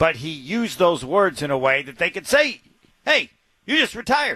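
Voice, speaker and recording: With an American accent and a bright, sharp tone, the speaker moves along at a moderate pace. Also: man. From Indiana. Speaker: sports radio host. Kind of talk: casual sports talk radio.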